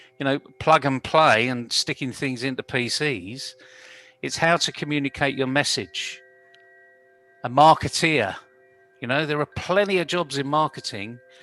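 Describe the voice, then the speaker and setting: A man with a fairly high voice speaks at a moderate pace with ordinary pitch variation and long, frequent pauses, the sound dry and close with no echo and music playing in the background. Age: 60s. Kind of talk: panel discussion.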